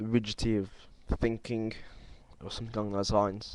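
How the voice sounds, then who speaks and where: Fairly low male speech at a moderate pace, in a monotone, flat intonation. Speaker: video blogger. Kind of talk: video response monologue. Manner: halting, stumbling; lacks fluency.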